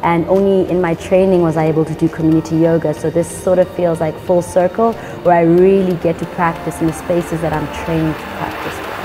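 Faint music plays in the background. Over it, a woman talks with monotone, flat intonation. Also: fairly quick pace, hardly any pauses. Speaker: yoga teacher. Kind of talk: interview answer. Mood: warm, calm. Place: gym.

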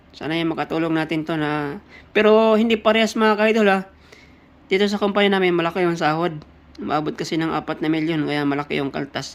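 The recording is very clean with a silent background. The speech moves at a very fast pace. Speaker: factory worker vlogger. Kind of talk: casual vlog. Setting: worker dormitory.

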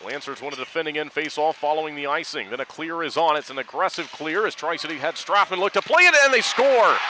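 With hardly any pauses, a man with a fairly high voice speaks very fast in an animated tone with ordinary pitch variation, the sound dry with no echo but with noticeable background noise. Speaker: hockey play-by-play announcer. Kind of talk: live sports commentary. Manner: fast, animated play-by-play delivery; clipped, urgent staccato. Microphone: headset.

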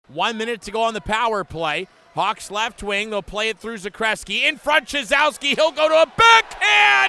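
A man's raised, projected, high-pitched voice in an excited tone, at a moderate pace with hardly any pauses and very wide pitch swings, dry and close with no echo, over noticeable background noise. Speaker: hockey play-by-play announcer. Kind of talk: hockey play-by-play commentary over game highlights. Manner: excited, rising emphasis on goals.

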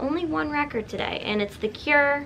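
A woman talks with lively intonation against light background noise. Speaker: vlogger. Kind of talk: casual vlog chat, shopping haul. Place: home room.

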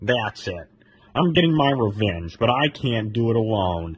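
A man uses a rumbling, put-on character voice with very wide pitch swings. He speaks at a moderate pace. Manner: angry, grumbling.

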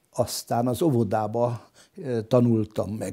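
A man talks in a dark, mellow tone at a medium pitch, the background quiet. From Hungary, Solymár; Hungary. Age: 80s+. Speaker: local historian; interviewee. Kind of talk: interview testimony. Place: home room. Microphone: lapel.

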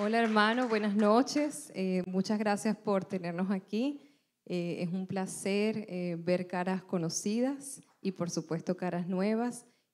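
A woman at medium pitch, fairly slow, with ordinary pitch variation. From Venezuela. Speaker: missionary; speaker. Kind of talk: church greeting. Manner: hesitant, many filler sounds. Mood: warm, grateful. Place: church. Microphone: handheld.

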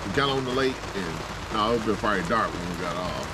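Loud background noise sits behind a man speaking at a moderate pace. The sound itself is dry, with no echo. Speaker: camping vlogger. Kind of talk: casual vlog chat. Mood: relaxed, joking. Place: tent. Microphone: phone near.

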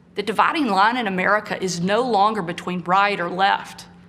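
A woman's fairly even intonation at a moderate pace. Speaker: politician giving televised response. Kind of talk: formal political speech. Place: home room.

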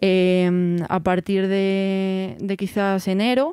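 A woman's medium-pitched voice has a dark, mellow tone. The recording is very clean, with a silent background. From Spain, Segovia province. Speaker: music festival organizer. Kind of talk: interview.

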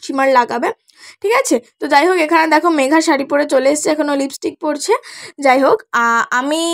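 The woman's high voice shows ordinary pitch variation in a dry, close sound with no echo. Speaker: beauty vlogger. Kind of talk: makeup tutorial chat. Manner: chatty.

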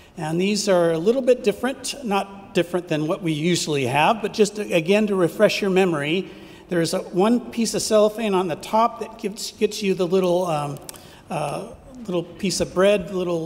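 This man's voice sits high for a man and has ordinary pitch variation. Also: moderate pace. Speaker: pastor. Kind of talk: worship service announcements. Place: church. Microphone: podium.

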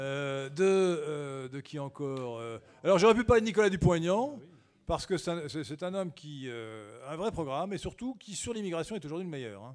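Against a quiet background, the speaker moves at a moderate pace with very wide pitch swings and big swings in loudness. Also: man. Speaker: conference host and speaker. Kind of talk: Q&A session at a political conference. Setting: conference hall with audience and roaming microphone. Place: hall. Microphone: podium.

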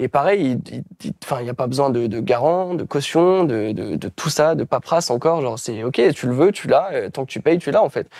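The man's pitch is fairly high, with ordinary variation and a fairly quick pace. The sound is dry with no echo over a quiet background. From France, various regions. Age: 20s. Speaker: self-publisher and trainer; interview guest. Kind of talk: interview. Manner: hesitant, many fillers. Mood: enthusiastic, relaxed. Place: home room. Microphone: lapel.

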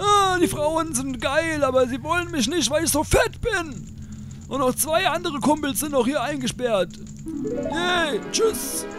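Loud music plays behind a man using a put-on character voice at a fairly slow pace. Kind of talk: comic overacting. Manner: mocking, lazy, silly.

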